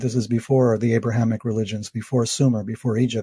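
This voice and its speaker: A man with an American accent speaks in a dark, mellow, somewhat breathy voice at medium pitch, with a quiet background. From US, New York City. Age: old. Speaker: author. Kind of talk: interview.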